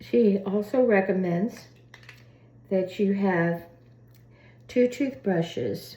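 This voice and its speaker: A woman is speaking. Her tone is dark and mellow. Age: 80s+. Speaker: oral care demonstrator. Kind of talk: casual talk to camera.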